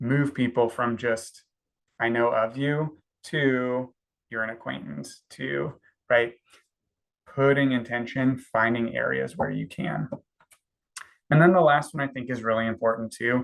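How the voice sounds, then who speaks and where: Long pauses come often, and the talking proceeds fairly slowly. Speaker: counseling intern. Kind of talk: webinar presentation. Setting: online webinar.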